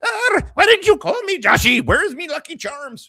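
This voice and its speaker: A man puts on a character voice in an Irish accent, pitched extremely high with very wide pitch swings. He keeps a moderate pace. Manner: scolding, teasing.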